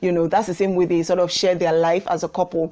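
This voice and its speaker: A woman is talking. Her tone is animated. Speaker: YouTube vlogger. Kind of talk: casual vlog monologue. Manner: fast.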